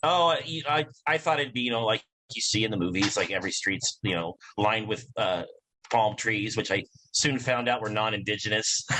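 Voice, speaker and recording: A man with a Midwestern US accent, medium pitch, bright, sharp tone and fairly quick pace. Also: lively intonation. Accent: US Midwest. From Nebraska, small towns. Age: 40s. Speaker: comedian. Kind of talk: casual chat.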